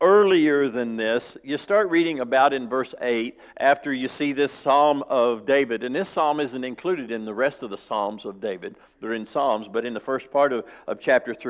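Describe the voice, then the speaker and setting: The speaker uses ordinary pitch variation, and the background is quiet. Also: man. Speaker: preacher. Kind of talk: sermon. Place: church.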